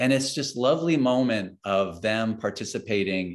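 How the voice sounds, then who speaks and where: A man speaks at a fairly slow pace with ordinary pitch variation. It is a normal speaking voice on a very clean recording with a silent background. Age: 50s. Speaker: educator and author. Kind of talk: casual chat.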